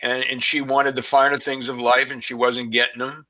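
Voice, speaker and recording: Monotone and flat in intonation, a man with a Boston accent speaks in a bright, sharp tone. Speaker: crime researcher, guest expert. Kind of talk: podcast interview. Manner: halting, many fillers.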